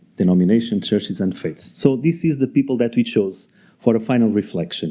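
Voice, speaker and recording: A man speaks in a Portuguese accent at a fairly quick pace. His tone is dark and mellow, with lively intonation. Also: medium pitch for a man. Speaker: debate moderator. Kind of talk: panel introduction at a conference. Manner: halting.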